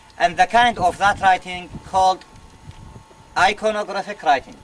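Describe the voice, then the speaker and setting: A man speaks with an Arabic accent at a high pitch. Noticeable background noise is present. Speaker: museum curator and tour guide. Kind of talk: guided tour. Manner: halting, non-native phrasing.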